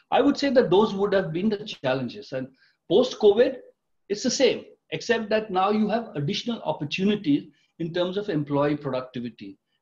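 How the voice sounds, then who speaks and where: A man talks at a fairly quick pace with lively intonation. The background is quiet. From India. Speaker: retired tech executive, company director; guest. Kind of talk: interview. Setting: video call. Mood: calm, measured. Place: home room.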